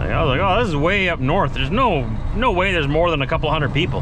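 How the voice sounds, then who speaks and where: Loud noise fills the background. Through it, a man is talking. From Manitoba, Canada. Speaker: truck driver vlogger. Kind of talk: casual vlog narration. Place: car. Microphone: phone near.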